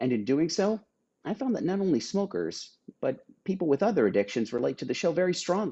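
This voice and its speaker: This man's voice has vocal fry and a fairly high pitch. He talks at a fairly quick pace with very wide pitch swings. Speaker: solo show performer and writer. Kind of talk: casual talk to camera, show promotion.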